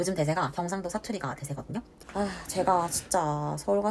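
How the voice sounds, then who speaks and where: At a moderate pace, the speaker talks in a Gyeongsang accent over noticeable background noise. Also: woman. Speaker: book reviewer. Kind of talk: casual book review talk to camera.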